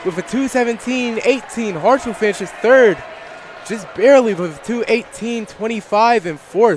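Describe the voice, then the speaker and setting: A man speaks at a moderate pace with a high pitch and ordinary pitch variation. There is noticeable background noise. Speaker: sports commentator. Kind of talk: live commentary.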